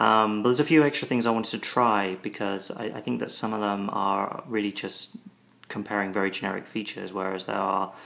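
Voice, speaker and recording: In a British accent, a man speaks at a fairly quick pace. His voice sits fairly low, with ordinary pitch variation. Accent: British accent, strong to American ears. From Britain. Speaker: tech video reviewer. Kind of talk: tutorial demo. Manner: hesitant, many ums and repeats.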